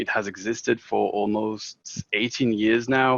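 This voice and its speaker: A man speaks with a French accent in a flat, monotone delivery, the sound dry and close with no echo. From French-speaking country. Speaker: product developer. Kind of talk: software demo.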